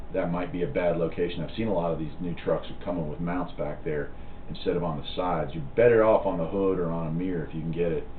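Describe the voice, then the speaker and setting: A man's very deep, low voice at a very fast pace, with audible room echo and noticeable background noise. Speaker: CB radio hobbyist and channel host. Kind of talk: live stream chat reading viewer comments. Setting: live stream from home. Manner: casual, halting with fillers.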